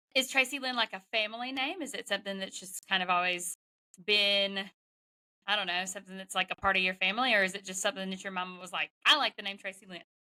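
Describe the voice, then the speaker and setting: In a Southern accent, a woman speaks very fast at a medium pitch, her bright, sharp tone swinging widely in loudness, with a dry, close sound and no echo. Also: ordinary pitch variation. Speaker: podcast host. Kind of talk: interview. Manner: animated.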